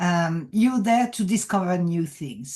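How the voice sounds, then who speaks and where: In a quiet background, a woman speaks very slowly at a medium pitch, somewhat breathy with a dark, mellow tone. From France. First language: French. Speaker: executive coach. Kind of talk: podcast interview.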